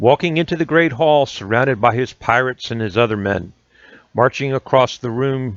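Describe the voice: Ordinary rise and fall of pitch in plain reading aloud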